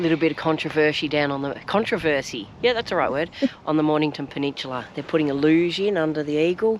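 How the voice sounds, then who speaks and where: A woman with an Australian accent speaks quietly at a very fast pace and a very deep, low pitch. Noticeable background noise runs beneath her. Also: ordinary pitch variation. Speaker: travel vlogger. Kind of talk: casual vlog chat. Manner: speaking quietly.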